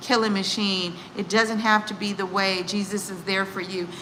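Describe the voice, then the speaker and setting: A woman with an American accent speaks at a medium pitch and moderate pace in a monotone, flat intonation, with audible room echo and noticeable background noise. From United States. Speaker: executive coach and psychologist. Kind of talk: casual live stream talk. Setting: live stream. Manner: casual, halting.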